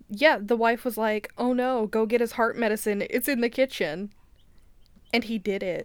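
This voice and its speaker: Fairly high pitch and fairly even intonation at a moderate pace, in a woman's unremarkable speaking voice. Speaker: podcast co-host. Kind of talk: casual chat, reading aloud.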